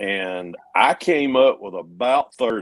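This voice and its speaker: A man with a Georgia accent. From US South, Georgia. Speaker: model car builder, livestream host. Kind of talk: casual chat. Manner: halting.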